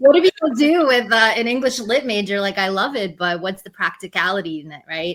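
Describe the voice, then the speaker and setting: A woman's fairly high voice with very wide pitch swings and big swings in loudness. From New York City (Queens), born in Russia. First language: Russian. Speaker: poet and teacher. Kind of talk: interview. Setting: podcast recording. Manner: halting, many fillers.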